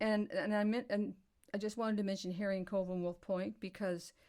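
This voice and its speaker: A woman speaks in a Canadian Maritime accent. Her intonation is fairly even. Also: very clean recording, silent background. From New Brunswick, Canada. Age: 70s. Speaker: retired middle school teacher. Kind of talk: casual chat.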